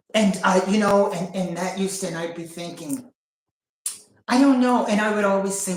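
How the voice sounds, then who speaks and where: Audible room echo surrounds a woman speaking at medium pitch with lively intonation. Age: 50s. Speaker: sharing personal spiritual journey. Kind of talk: casual chat. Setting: livestream. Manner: halting.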